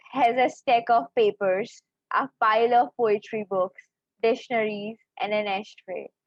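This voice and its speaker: Speaking in a Pakistani accent, a woman with a fairly high pitch takes a fairly slow pace. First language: Urdu. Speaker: poet. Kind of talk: poetry reading.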